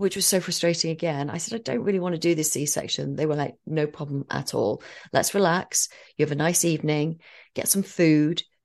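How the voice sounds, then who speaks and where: Against a quiet background, a woman with a very deep, low pitch talks at a fairly quick pace with ordinary pitch variation. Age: 40s. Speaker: podcast co-host and mother sharing birth story. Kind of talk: casual chat.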